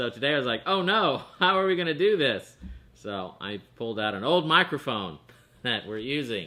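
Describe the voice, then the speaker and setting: Loud and with very wide pitch swings, a man speaks at a moderate pace. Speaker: online show co-host. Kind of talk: casual chat.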